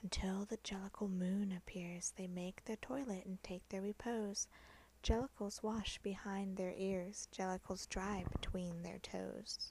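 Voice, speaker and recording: The speaker is whispering. The voice is soft-spoken. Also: fairly slow pace. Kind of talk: soft-spoken poetry reading for relaxation. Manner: soft-spoken, whispered.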